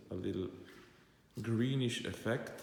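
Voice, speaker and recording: A man with a non-native accent at a very slow pace, ordinary pitch variation and audible room echo. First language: not English. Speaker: car enthusiast vlogger. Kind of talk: car walkaround video. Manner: halting.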